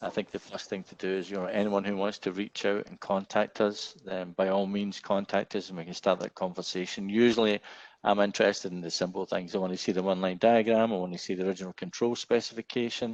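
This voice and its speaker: Against a quiet background, a fairly low-pitched man speaks very fast in a flat monotone with hardly any pauses and big swings in loudness, the sound dry and close with no echo. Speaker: gas turbine engineer. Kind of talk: webinar Q&A. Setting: webinar.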